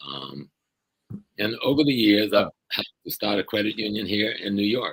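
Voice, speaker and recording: Here a man speaks at a moderate pace with a fairly low pitch. His intonation is lively, and he has vocal fry. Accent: American. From US South, South Carolina. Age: 70s. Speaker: professor and activist. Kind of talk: interview conversation.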